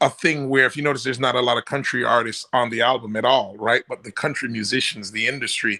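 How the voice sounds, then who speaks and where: A man's bright, sharp voice at a fairly quick pace, with a Jamaican accent. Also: dry, close sound with no echo. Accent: Jamaican-tinged. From New York, Jamaican family. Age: 40s. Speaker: reggae singer. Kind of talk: interview. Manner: halting, many fillers.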